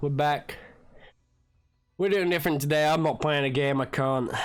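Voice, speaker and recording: Over music in the background, a man speaks in a fairly high pitch with fairly even intonation. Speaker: gaming youtuber. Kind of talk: casual commentary. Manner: casual, rambling.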